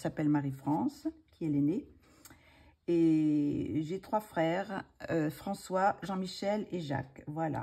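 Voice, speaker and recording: Very slowly, a woman speaks in a fairly low, dark and mellow voice whose pitch varies an ordinary amount. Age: 60s. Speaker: retired ballet dancer, hobby channel host. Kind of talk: casual chat. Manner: hesitant, many filler sounds.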